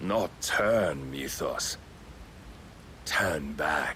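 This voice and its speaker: A man growls in a put-on character voice with a very deep, low pitch. His intonation is lively, over light background noise. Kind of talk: grand villain monologue. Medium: video game. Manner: archaic, solemn, preaching.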